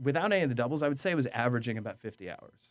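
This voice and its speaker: A man speaks with an American accent. His pitch shows ordinary variation. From upstate New York (Orange County). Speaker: restaurant manager and sommelier. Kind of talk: casual interview. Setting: studio.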